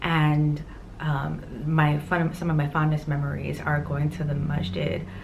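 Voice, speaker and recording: A woman with an American accent and a very deep, low pitch, over noticeable background noise. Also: fairly slow pace. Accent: New York, Indo-Guyanese American. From New York City, Queens. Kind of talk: casual talk to camera.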